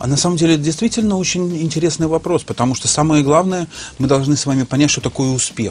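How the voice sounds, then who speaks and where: Words come from a man at a very fast pace. He speaks fairly high, and his pitch varies in an ordinary way. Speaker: business trainer. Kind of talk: interview. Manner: hesitant with fillers.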